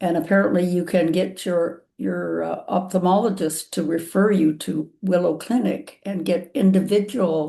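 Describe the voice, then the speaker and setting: A woman speaks at a moderate pace with a dark, mellow tone and vocal fry. She has ordinary pitch variation and hardly any pauses. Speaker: patient with macular degeneration, peer group leader. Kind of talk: video call webinar chat. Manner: halting, many fillers.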